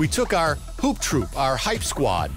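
The man speaks at a fairly slow pace. Clear music plays in the background of a dry sound with no echo. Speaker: public address announcer for a basketball team. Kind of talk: casual interview answer telling a story. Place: studio. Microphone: headset.

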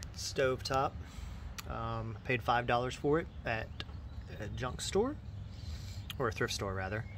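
Long, frequent pauses break up this very slow delivery over light background noise. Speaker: DIY video host. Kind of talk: casual tutorial narration. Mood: upbeat, joking. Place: garden.

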